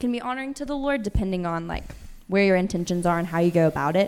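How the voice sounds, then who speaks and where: Speaking with an American accent, a woman uses a fairly low pitch. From Tennessee. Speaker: panel guest, newlywed. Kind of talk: panel discussion. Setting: stage with audience.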